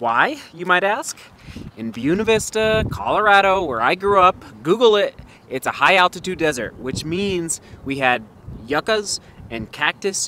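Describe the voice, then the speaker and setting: Over light background noise, a man with a high pitch and a bright, sharp tone talks at a moderate pace with very wide pitch swings, the sound dry with no echo. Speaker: vlogger. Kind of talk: casual vlog chat. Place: street. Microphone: phone near.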